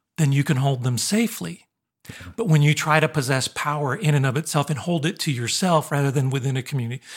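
Somewhat breathy, a man speaks very fast at a fairly high pitch with ordinary pitch variation. The recording is very clean, with a silent background. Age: 50s. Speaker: college professor and podcast co-host. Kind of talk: casual conversation.

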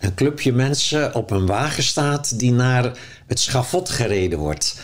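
At a fairly slow pace, a man with an ordinary speaking voice talks at medium pitch with lively intonation. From Zeeuws-Vlaanderen, Netherlands. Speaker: author and spiritual teacher. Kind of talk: in-depth interview. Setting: at his home.

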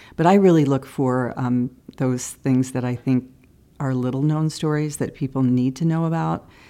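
A woman speaks with a Midwestern American accent in a very deep, low voice with a dark, mellow tone. Her pitch moves in an ordinary way, and her pace is moderate. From Iowa, Cedar Rapids. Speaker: TV news producer. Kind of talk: interview.

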